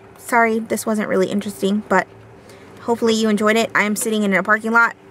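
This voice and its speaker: A woman's fairly high voice in a monotone, flat intonation over noticeable background noise. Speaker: military wife, stay-at-home mother. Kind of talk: casual vlog talk to camera. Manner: fast.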